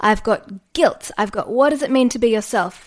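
With an Australian accent, a woman speaks at a moderate pace and fairly high pitch with ordinary pitch variation, in a very clean recording with a silent background. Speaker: podcast host and yoga teacher. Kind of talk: solo podcast monologue.

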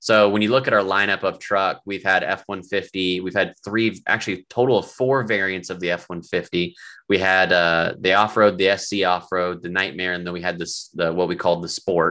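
On a very clean recording with a silent background, a man with a very deep, low pitch and a bright, sharp tone speaks at a fairly quick pace in a monotone, flat way. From US Midwest, Cincinnati. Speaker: auto industry product director. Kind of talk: interview. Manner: halting.

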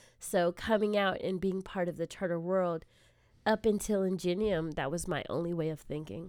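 A woman's fairly low voice at a moderate pace with fairly even intonation, on a very clean recording with a silent background. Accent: Californian. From Southern California, South Bay area. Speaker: assistant principal. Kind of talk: interview.

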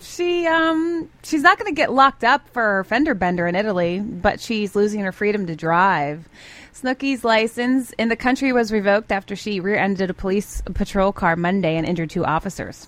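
Barely pausing, a woman at medium pitch talks at a fairly quick pace with very wide pitch swings. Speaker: radio co-host. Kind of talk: morning radio show banter. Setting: studio.

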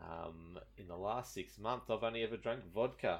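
A man with an Australian accent speaks at medium pitch. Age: 30s. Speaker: gaming podcaster and streamer. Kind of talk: casual chat.

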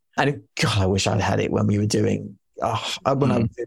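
Speaking with a London accent, a man talks at a fairly quick pace with vocal fry. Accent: southern English (London). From London, England. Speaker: marketing executive and author. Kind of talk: casual interview.

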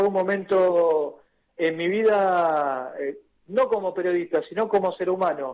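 This man's voice sits high in pitch. He talks at a fairly slow pace. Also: ordinary pitch variation. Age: 40s. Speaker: journalist and author. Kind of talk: radio interview.

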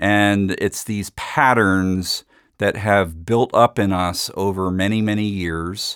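Very slowly, a man speaks at a fairly low pitch. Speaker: psychologist and author. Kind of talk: casual talk about his book.

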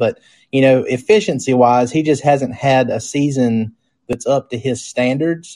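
With a quiet background, a man in an unremarkable speaking voice talks at a moderate pace and a medium pitch. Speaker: podcast host. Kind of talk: casual sports podcast chat. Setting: live stream.

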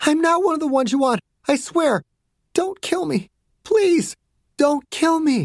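With a high pitch and a put-on character voice, a female-sounding speaker goes at a moderate pace with long, frequent pauses. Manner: pleading.

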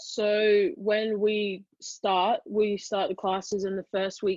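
Here a woman speaks in an Australian accent. Her voice sits at a medium pitch. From Australia, Brisbane. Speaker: college rugby player. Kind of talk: casual interview.

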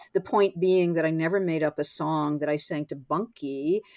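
The woman has an unremarkable speaking voice. Her intonation is fairly even. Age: 60s. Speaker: essayist and author. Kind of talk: interview conversation.

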